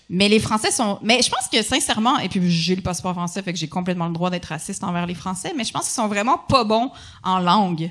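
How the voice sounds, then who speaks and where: A woman of medium pitch talks very fast against noticeable background noise. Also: ordinary pitch variation. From Quebec, Montreal. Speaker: comedian. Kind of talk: casual chat.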